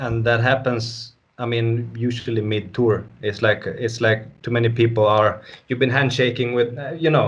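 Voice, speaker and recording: A man's somewhat breathy voice in a Swedish accent, with monotone, flat intonation. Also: medium pitch for a man, moderate pace. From northern Sweden. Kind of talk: interview. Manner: casual.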